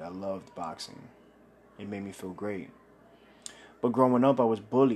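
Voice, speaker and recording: A man with a New York accent talks at a fairly quick pace, his fairly low voice keeping a fairly even intonation. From Brooklyn, New York (Bushwick). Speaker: podcast host. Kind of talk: personal testimony monologue.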